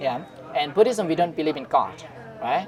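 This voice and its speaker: A man with a Thai accent and a high pitch, with music in the background. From northern Thailand. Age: 20s. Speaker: Buddhist monk. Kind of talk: casual interview. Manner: halting.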